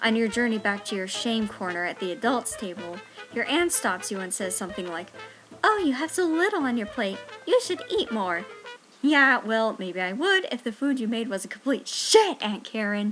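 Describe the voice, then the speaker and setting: Over music in the background, a woman with a fairly high pitch speaks at a moderate pace with very wide pitch swings. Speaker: college student. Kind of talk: persuasive speech.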